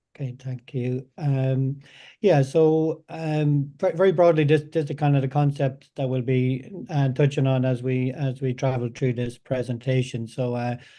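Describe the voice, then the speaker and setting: In a strong Irish accent, a man talks at a fairly slow pace with hardly any pauses, his dark, mellow tone and fairly even intonation set against a quiet background. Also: medium pitch for a man. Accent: thick Irish. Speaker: data science company representative. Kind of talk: webinar presentation. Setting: online webinar. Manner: halting, many fillers and repeats.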